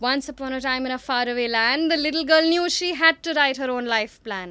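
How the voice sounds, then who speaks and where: Raising and projecting her voice, a woman speaks at a high pitch with a bright, sharp tone in a very clean recording with a silent background. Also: ordinary pitch variation, fairly quick pace. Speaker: psychologist, storyteller and spoken word poet. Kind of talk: spoken word poetry performance.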